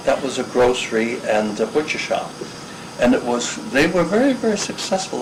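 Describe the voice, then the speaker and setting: There is noticeable background noise behind this man's voice. He speaks at a medium pitch and a moderate pace with lively intonation. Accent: New York. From Hastings-on-Hudson, New York. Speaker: oral history interviewee. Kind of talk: interview answer.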